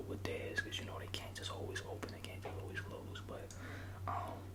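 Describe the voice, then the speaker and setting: A man speaks with a fairly low pitch. Noticeable background noise runs underneath. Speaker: ASMR creator playing a restaurant general manager. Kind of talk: ASMR job interview roleplay. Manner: casual, laid-back.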